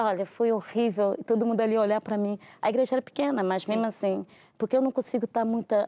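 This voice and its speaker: A woman's dark, mellow tone at medium pitch, in a very clean, silent recording with a dry, close sound and no echo. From Brazil, Rio de Janeiro and Brasília. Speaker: pastor. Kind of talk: testimony. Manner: fast.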